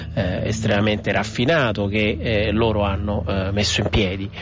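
There is noticeable background noise as a man speaks at a moderate pace. His voice is fairly low in pitch. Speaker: author and digital culture expert. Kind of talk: recorded radio interview. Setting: recorded interview. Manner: articulate, formal.

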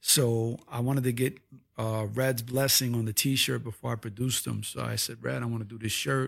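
At a moderate pace, a man with a medium-pitched voice and fairly even intonation is heard on a very clean recording with a silent background. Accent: New York. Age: 50s. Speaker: visual artist. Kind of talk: casual interview. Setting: host's home office.

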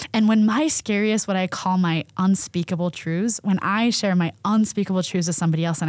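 A woman speaks in an ordinary speaking voice at medium pitch and a fairly quick pace, with ordinary pitch variation. The recording is very clean with a silent background. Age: 40s. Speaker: therapist. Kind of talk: interview.

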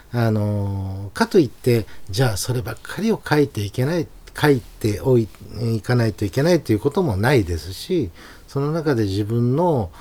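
A man's dark, mellow, somewhat breathy voice at medium pitch, with lively intonation and a moderate pace. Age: 50s. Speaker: calligrapher. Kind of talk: casual interview.

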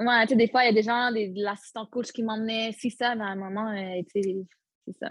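Against a quiet background, a woman talks at a moderate pace in a fairly high, somewhat breathy voice with monotone, flat intonation, the sound dry and close with no echo. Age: 20s. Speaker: retired footballer. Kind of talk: interview.

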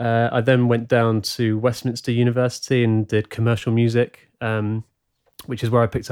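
A man with a southern English accent and medium pitch talks at a fairly quick pace in a very clean recording with a silent background, dry and close with no echo. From England, Leighton Buzzard (Bedfordshire). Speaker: musician and playback technician. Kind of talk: casual interview. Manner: halting, many fillers and repetitions.

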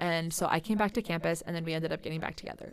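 This is a woman with a Midwestern American accent. Her pitch sits fairly low. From Central Iowa. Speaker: nanny and theater actor. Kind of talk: casual chat.

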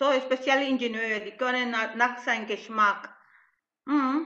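A woman speaks with fairly even intonation. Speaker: event participant, alpaca farmer. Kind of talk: Q&A in an online event.

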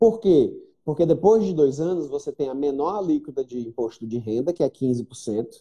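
A man has an unremarkable speaking voice, fairly high in pitch, with lively intonation at a moderate pace. The sound is dry and close with no echo. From Brazil, Fortaleza (Northeast). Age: 40s. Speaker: entrepreneur and investor. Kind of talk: casual chat.

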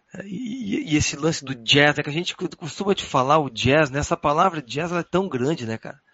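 In a plain, everyday voice, the speaker moves at a moderate pace with hardly any pauses and lively intonation. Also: man, fairly high pitch for a man. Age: 40s. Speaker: jazz guitarist. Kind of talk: casual chat.

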